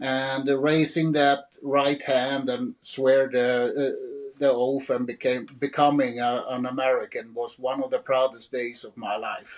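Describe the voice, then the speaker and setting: With a Swedish accent, a man speaks fairly slowly at a medium pitch in a flat monotone, hardly pausing. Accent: Swedish, Scandinavian singing. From Sweden. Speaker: author. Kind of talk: interview. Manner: halting, repeats words.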